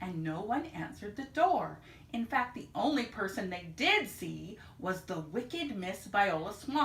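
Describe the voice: What you hear is plain reading aloud.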